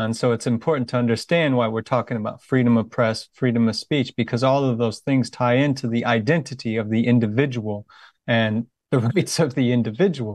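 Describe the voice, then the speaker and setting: A man speaks at a fairly quick pace in a normal speaking voice, medium in pitch with fairly even intonation. The sound is dry and close with no echo, over a quiet background. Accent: American. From USA. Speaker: volunteer interviewer, veteran. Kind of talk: interview.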